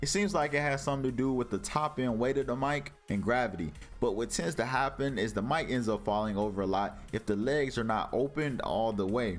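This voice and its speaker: Music plays behind a man of medium pitch. His loudness stays very even. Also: lively intonation, fairly quick pace, hardly any pauses. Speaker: tech reviewer. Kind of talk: product review. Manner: casual, conversational.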